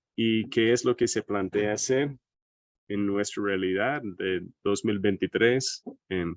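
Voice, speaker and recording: With an American accent, a man is talking. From United States. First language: English (speaking Spanish). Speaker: agroecology researcher. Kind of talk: seminar lecture. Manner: hesitant, with fillers.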